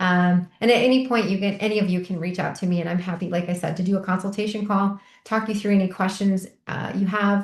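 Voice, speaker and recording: A woman's very fast, somewhat breathy delivery at medium pitch, monotone with flat intonation. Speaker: microdosing coach. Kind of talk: online group meetup talk. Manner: chatty.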